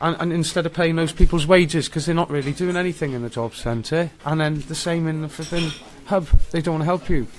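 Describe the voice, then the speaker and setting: Over noticeable background noise, a man talks at a fairly quick pace, his fairly high pitch held in fairly even intonation. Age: 40s. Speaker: homeless man. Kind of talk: interview. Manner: halting.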